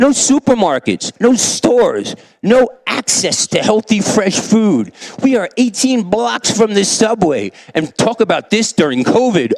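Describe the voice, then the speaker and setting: A man with a New York accent, high-pitched, fairly slow, animated and lively in intonation, in a dry, close sound with no echo, over noticeable background noise. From US Northeast, New York (South Bronx). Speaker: teacher. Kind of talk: keynote talk. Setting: stage with audience.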